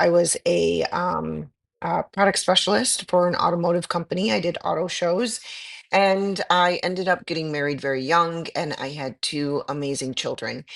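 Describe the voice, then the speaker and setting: With an ordinary speaking voice, a woman talks at a moderate pace in a fairly low pitch, her intonation lively. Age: 50s. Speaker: aesthetic nurse. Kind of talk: interview.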